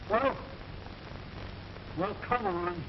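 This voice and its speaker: A gruff, put-on character voice. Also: man, high pitch for a man. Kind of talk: 1940s radio acting. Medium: old radio play. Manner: ungrammatical, gruff.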